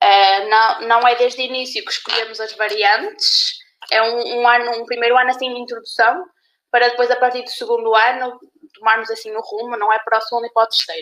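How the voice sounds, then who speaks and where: A woman talks very fast in a high voice. Her pitch varies in an ordinary way. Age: 20s. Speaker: university student. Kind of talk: casual chat. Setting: live stream.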